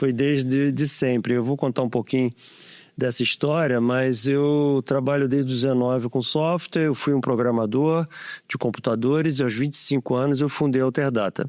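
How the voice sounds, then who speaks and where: An ordinary speaking voice from a man at medium pitch, with very even loudness and fairly even intonation, in a dry, close sound with no echo and a very clean recording with a silent background. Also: moderate pace. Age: 60s. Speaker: tech company founder. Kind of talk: podcast interview.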